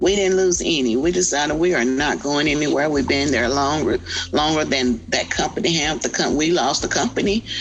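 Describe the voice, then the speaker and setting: With music in the background, a woman speaks in a Texas accent at a very deep, low pitch. Her pace is fairly quick, her loudness very even, and her pitch variation ordinary. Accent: Southern US (Texas). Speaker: community activist. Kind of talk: interview testimony.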